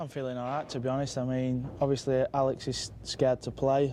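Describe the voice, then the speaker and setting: A man with a Mancunian accent speaks in a dark, mellow tone with monotone, flat intonation. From northern England, Manchester. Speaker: pool player. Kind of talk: post-match style interview.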